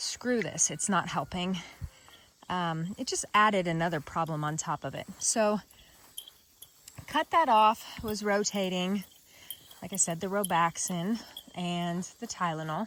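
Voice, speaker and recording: At a fairly slow pace with long, frequent pauses, a woman speaks in a medium pitch with ordinary pitch variation. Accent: Kansas. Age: 40s. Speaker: vlogger. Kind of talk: personal video diary. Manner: casual, conversational.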